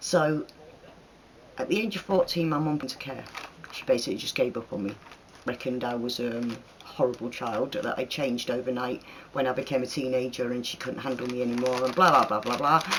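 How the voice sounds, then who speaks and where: Noticeable background noise runs behind a man at medium pitch. He talks at a fairly quick pace with ordinary pitch variation. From northern England (Manchester, Leeds). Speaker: YouTuber. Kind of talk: Q&A vlog.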